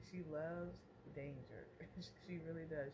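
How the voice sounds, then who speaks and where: Woman's voice at a very deep, low pitch, with ordinary pitch variation and noticeable background noise. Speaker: mom vlogger. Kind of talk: casual vlog chat. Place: home room. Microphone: phone near.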